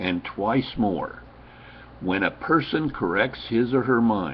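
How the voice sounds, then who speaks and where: A man's medium-pitched voice at a very slow pace, with lively intonation. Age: 70s. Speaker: self-help speaker. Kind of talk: webcam monologue. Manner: emphatic.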